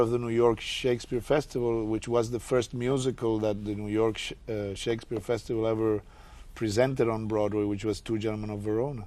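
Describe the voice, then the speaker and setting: A man at a moderate pace. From Puerto Rico. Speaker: actor. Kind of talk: interview answer.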